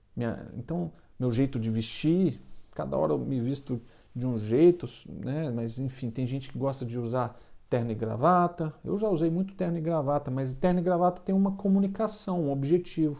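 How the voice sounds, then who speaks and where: With a Minas Gerais accent, a man speaks at a moderate pace in a dark, mellow tone, his fairly high pitch carried by lively intonation. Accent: mineiro (Minas Gerais) Brazilian Portuguese. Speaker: baker and online business coach. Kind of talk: casual motivational talk to camera. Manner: halting, with frequent filler repetitions.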